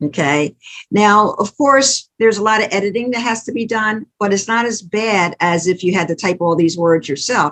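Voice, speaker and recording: A woman's medium-pitched voice with lively intonation, at a moderate pace. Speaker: author and church speaker. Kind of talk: tutorial. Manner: conversational, halting.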